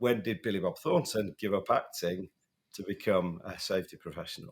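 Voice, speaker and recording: A man speaks with a northern English accent. His pace is fairly quick. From northern England. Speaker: safety podcast co-host. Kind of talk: casual podcast chat. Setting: in person at a conference in Chicago.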